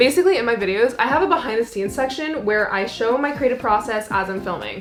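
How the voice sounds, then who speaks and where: Very fast and lively in intonation, a woman talks with a fairly high pitch. Noticeable background noise is present. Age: 20s. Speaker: freelance filmmaker and vlogger. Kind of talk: casual vlog talk.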